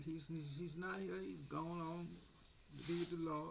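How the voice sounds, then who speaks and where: A man speaks at a moderate pace and a fairly high pitch. Noticeable background noise and audible room echo are present. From US South, Jacksonville, Florida. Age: 70s. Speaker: military veteran. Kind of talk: political rant. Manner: animated.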